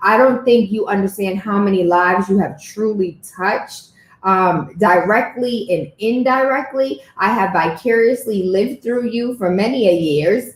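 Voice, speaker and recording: Her voice is somewhat breathy and fairly high-pitched for a woman. She speaks at a moderate pace with ordinary pitch variation. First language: not English. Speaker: podcast host. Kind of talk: interview.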